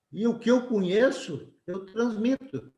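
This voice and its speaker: In a room with audible echo, the man's pitch varies in an ordinary way. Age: 70s. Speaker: engineering professor. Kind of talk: webinar lecture. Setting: video call webinar. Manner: conversational, frequent tag questions (certo?, tá?).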